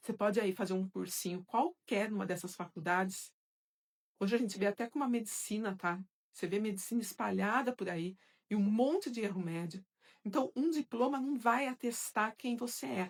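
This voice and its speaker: A woman with an ordinary speaking voice talks at a moderate pace, her pitch medium and her intonation lively. The recording is very clean and dry, close with no echo, against a silent background. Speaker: psychoanalyst and course teacher. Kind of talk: live stream Q&A with viewers.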